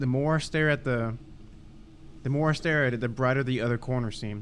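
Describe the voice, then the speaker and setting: A man with a Texan accent speaks at a very fast pace. His voice sits at a medium pitch with fairly even intonation. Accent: Texan American. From Texas. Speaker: podcast co-host. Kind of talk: reading aloud.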